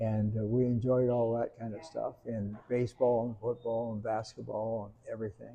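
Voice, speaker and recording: A man speaks in an American accent at a moderate pace, his pitch medium. His tone is dark and mellow, and his intonation stays monotone and flat. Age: 80s+. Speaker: family elder, Air Force veteran. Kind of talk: casual interview. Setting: family reunion. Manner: halting, many fillers.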